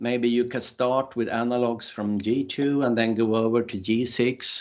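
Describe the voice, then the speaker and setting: Against a quiet background, a man with a non-native accent speaks at a medium pitch. His pace is fairly slow. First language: not English. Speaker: workshop trainer. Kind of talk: online workshop lecture. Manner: halting, many repetitions and fillers.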